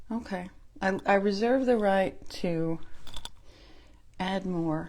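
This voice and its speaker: Speaking at a very slow pace with an American accent, the woman keeps a medium pitch and ordinary pitch variation. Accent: Southern US accent, noticeable at times. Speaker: makeup consultant and beauty vlogger. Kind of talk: makeup tutorial. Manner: casual, chatty.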